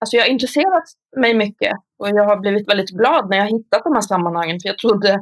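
Recorded with a dry, close sound and no echo, a woman talks very fast at a medium pitch. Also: ordinary pitch variation. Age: 40s. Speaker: psychiatric care worker, author and lecturer. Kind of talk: casual interview conversation.

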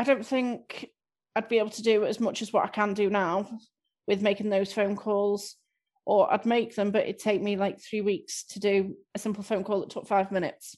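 A woman with a slight Scouse accent speaks at medium pitch and a moderate pace, her intonation monotone and flat, over a quiet background. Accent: slight Scouse-tinged north-west English. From Southport, north-west England. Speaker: improv class member and guest. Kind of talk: casual interview chat.

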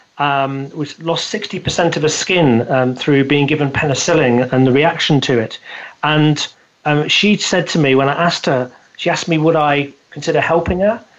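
This man speaks with a British accent. His pitch is fairly high. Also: ordinary pitch variation, moderate pace. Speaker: business coach and speaker. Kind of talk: interview. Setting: remote call from the UK.

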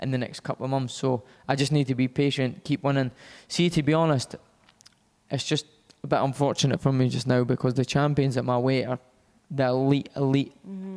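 The speaker talks at a fairly quick pace in a Scottish accent, with fairly even intonation. Long, frequent pauses break up the speech. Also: man, medium pitch for a man. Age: 20s. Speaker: professional boxer. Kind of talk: interview.

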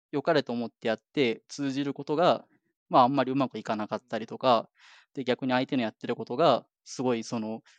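In a dry, close sound with no echo and a quiet background, a man talks very fast at a medium pitch with fairly even intonation. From Japan. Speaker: software engineer. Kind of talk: casual interview.

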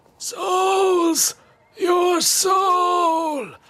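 A put-on character voice, pitched extremely high. The sound is raspy throughout. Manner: menacing.

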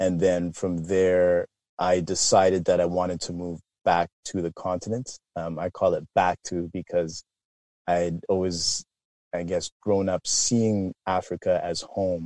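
A man speaks fairly slowly in a very deep, low voice with flat, monotone intonation. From Canada, Toronto area. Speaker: business founder. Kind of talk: interview.

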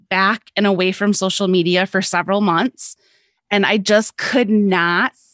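A woman with a plain, everyday voice and a medium pitch talks at a moderate pace. The sound is dry and close with no echo, in a very clean recording with a silent background. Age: 40s. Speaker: lifestyle blogger and podcaster. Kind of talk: casual chat.

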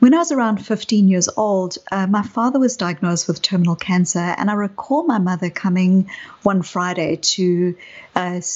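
Ordinary pitch variation in a South African accent. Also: woman. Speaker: psychologist. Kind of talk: interview conversation.

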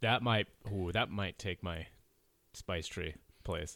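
A man speaks at a very slow pace in a very deep, low voice. The recording is very clean, with a silent background. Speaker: podcast host. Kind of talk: casual banter podcast. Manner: jokey, interrupting.

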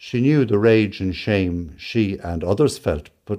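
Reading in an unforced reading voice

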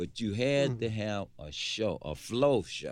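An unremarkable speaking voice with lively intonation and an American accent, on a very clean recording with a silent background. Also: man. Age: 60s. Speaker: musician, former band member. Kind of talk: casual interview.

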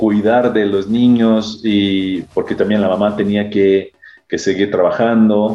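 With music in the background, a man with a Brazilian accent speaks fairly slowly in a flat monotone at a fairly low pitch. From Brazil, São Paulo area. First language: Portuguese (speaking Spanish). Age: 40s. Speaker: HR executive. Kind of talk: interview. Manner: halting.

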